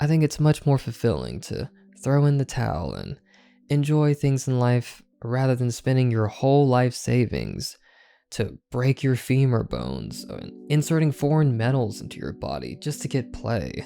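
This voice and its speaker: Moderate-paced speech over music in the background. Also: man. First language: not English. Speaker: YouTuber. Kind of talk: casual commentary video.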